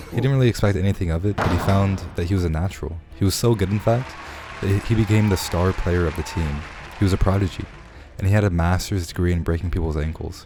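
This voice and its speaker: Music plays behind a man speaking at a very fast pace. His pitch is very deep and low. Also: ordinary pitch variation. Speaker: self-help video creator. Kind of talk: scripted narration.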